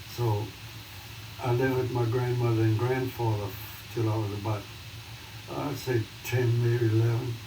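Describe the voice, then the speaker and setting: With an American accent and a medium pitch, a man speaks at a moderate pace in a monotone, flat delivery with long, frequent pauses, amid audible room echo and noticeable background noise. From US South, New Orleans. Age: 90s. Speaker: son of a jazz bandleader, interviewee. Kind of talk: oral history interview.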